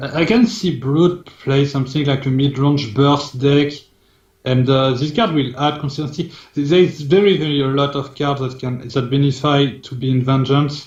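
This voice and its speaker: A man's fairly high voice, a little breathy, moves at a moderate tempo with normal rises and falls in pitch. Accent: French. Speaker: team manager. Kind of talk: casual discussion.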